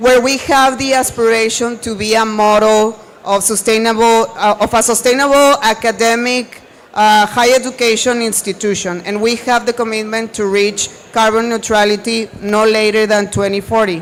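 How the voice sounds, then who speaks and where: A moderate pace in a Spanish accent, with noticeable background noise. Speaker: university sustainability staff. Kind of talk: panel discussion. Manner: animated.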